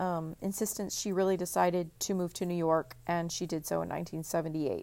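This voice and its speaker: On a very clean recording with a silent background, a woman with an American accent speaks at a medium pitch in a monotone, flat intonation. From Texas. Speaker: podcast host. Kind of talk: solo podcast monologue. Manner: hesitant, many fillers.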